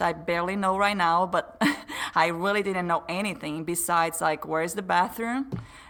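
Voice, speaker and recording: A woman's medium-pitched voice in a Brazilian Portuguese accent, at a moderate pace with ordinary pitch variation, over noticeable background noise. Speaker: podcast guest. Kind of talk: casual interview chat.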